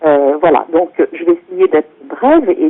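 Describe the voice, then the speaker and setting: Very slowly, a woman speaks. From France. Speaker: author and intercultural consultant. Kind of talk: talk presentation. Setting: teleconference. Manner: hesitant, many fillers.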